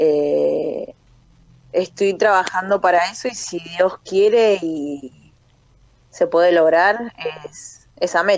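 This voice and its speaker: With long, frequent pauses, a woman speaks at a very slow pace, the sound dry with no echo. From Buenos Aires area, Argentina (Libertad, Merlo); Buenos Aires. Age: 30s. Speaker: professional boxer and army corporal. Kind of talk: phone interview. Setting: phone call. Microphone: phone line, dropped once; phone line.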